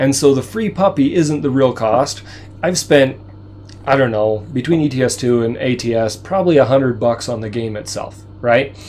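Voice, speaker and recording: A man talks at a moderate speed, music playing behind him. His medium pitch varies in an ordinary way. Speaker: video game live streamer. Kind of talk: live stream gameplay commentary. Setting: home. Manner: halting, many fillers.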